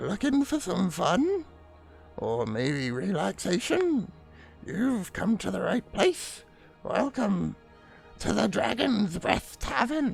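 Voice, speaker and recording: A raspy, put-on character voice at a middle pitch, very slow with long, frequent pauses, over clear music in the background. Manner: inviting, welcoming.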